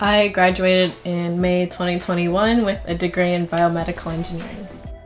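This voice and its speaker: A woman at fairly low pitch and a fairly quick pace, monotone and flat, with music in the background. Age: 20s. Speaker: engineer. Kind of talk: casual interview talk.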